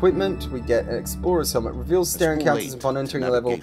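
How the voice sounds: This is a natural reading voice.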